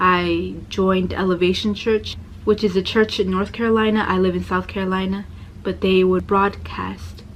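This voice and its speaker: A woman speaks at a moderate pace in an American accent. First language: Spanish heritage; Spanish called second language. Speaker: religious convert sharing story. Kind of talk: personal testimony. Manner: quieter, lowered voice.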